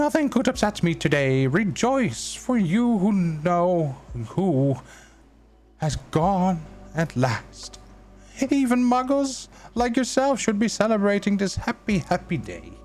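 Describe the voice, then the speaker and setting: A man's put-on character voice, squeaky and high-pitched, at a moderate pace with long, frequent pauses. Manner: gleeful, joyful.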